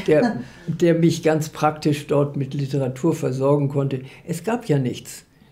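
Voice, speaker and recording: Somewhat breathy and very deep in pitch, a woman talks at a fairly slow pace with ordinary pitch variation. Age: 80s+. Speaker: literary scholar and editor. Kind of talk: interview answer. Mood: calm, reflective, smiling. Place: home room.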